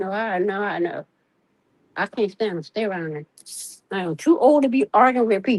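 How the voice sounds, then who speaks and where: A woman speaks at medium pitch and a moderate pace with lively intonation, leaving long, frequent pauses. The sound is dry and close, with no echo. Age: 60s. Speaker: caller. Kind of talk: casual chat.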